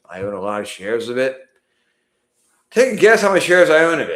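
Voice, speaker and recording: A man's voice swings very widely in pitch amid audible room echo. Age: 60s. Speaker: investing youtuber, math teacher. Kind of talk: live stream commentary on an ETF. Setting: home office live stream. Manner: casual, halting with self-corrections.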